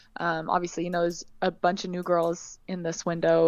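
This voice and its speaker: Here is a woman with a Californian accent and a fairly low pitch, talking at a fairly quick pace. The sound is dry and close with no echo, and the background is quiet. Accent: Californian American. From California, US. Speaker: professional basketball player. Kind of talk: interview.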